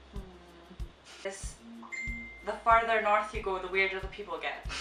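Room echo can be heard along with light background noise. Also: fairly slow pace. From Shetland, Scotland. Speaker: vlogger. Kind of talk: casual reaction, reading questions aloud. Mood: amused, laughing. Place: home room. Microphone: camera far.

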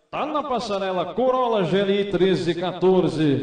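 This man has a high pitch and lively intonation, speaking at a very slow pace. Room echo is audible over a quiet background. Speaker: auctioneer. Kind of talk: auction calling. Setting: live auction hall with audience and online bidders. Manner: chatty asides hyping the car. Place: hall.

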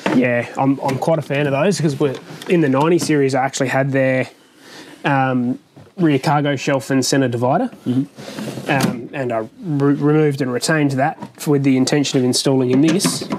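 A moderate pace, with noticeable background noise. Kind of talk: tutorial. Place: garage. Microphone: lapel.

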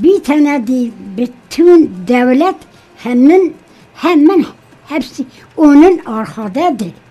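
A woman with a high pitch and a dark, mellow tone speaks at a very slow pace with lively intonation, leaving long, frequent pauses. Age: 80s+. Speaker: interview guest. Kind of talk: interview answer. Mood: earnest, emphatic. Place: studio. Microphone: studio mic.

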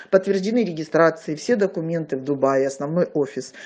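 With lively intonation, a woman speaks in a slightly mellow tone.

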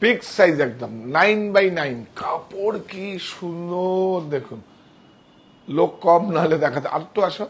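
Speaking high for a man, this voice has lively intonation. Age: 60s. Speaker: saree shop owner presenting products; textile seller. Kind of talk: sales pitch. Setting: clothing store studio. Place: shop. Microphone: lapel.

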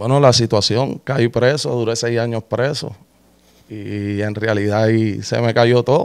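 A man speaks in an ordinary speaking voice at a medium pitch. His pace is fairly slow and his intonation fairly even. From Puerto Rico. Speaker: rapper, former prisoner; interview guest. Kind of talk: interview. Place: studio. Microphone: studio mic.

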